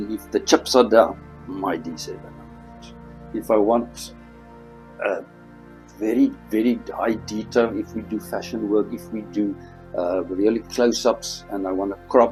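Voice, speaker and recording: Music plays in the background as a man speaks at a fairly slow pace. He leaves long, frequent pauses. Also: big swings in loudness. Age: 60s. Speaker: dentist and photographer. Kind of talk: interview answer.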